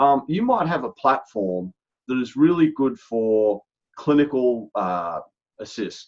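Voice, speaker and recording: A man speaks in an Australian accent at a medium pitch. His pace is very slow. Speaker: healthcare strategy executive. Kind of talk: podcast interview. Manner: animated; halting.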